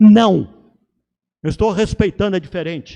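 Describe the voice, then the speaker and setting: A man with a high pitch and a dark, mellow tone talks at a fairly slow pace with ordinary pitch variation, the sound dry and close with no echo. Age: 80s+. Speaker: retired Presbyterian pastor. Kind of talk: interfaith panel discussion on TV. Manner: formal.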